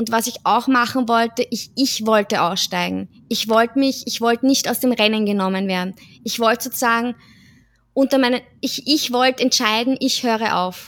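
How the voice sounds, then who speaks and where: In a very clean recording with a silent background, a woman with an unremarkable speaking voice talks at a moderate pace, fairly high in pitch and fairly even in intonation. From Austria, Vienna. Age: 30s. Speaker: social pedagogue and amateur runner. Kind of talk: casual chat.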